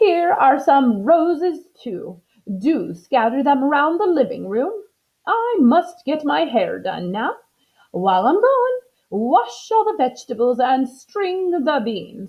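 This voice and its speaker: Using a put-on character voice, a woman speaks fairly slowly at a high pitch, her pitch swinging very widely. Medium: read story.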